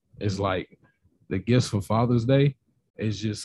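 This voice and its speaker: With fairly even intonation, a man talks in a somewhat breathy voice, the sound dry and close with no echo. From Nashville, Tennessee. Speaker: podcaster guest. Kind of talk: casual chat.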